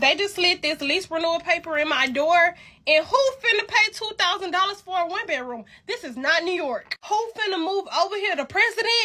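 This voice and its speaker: In an extremely high pitch, a woman speaks in a raised, projected voice with an animated tone, lively intonation and a fairly quick pace. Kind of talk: comedic rant. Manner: stuttering.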